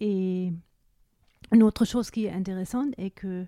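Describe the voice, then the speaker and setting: A woman with a German accent speaks at a medium pitch with ordinary variation and a dark, mellow tone. The sound is dry and close, without echo. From Germany. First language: German (speaking French). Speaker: recorder maker. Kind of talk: interview. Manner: halting.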